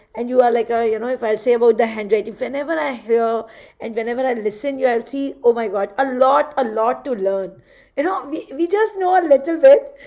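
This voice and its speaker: Woman with an Indian accent, a high pitch, a dark, mellow tone and lively intonation. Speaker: handwriting analysis graduate. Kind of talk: graduation speech in video call.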